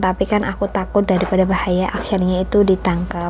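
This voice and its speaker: A woman at medium pitch and a very fast pace, flat and monotone in intonation, over noticeable background noise. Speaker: homemaker vlogger. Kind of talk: vlog voiceover narration. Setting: home, recorded while kids sleep. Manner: soft-spoken.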